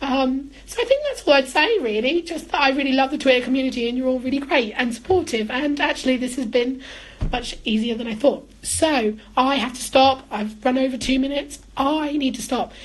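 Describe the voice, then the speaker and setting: With an English accent and a high pitch, a woman speaks at a fairly quick pace with hardly any pauses and ordinary pitch variation. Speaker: housing manager. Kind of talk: live-streamed talk. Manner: usually loud; animated.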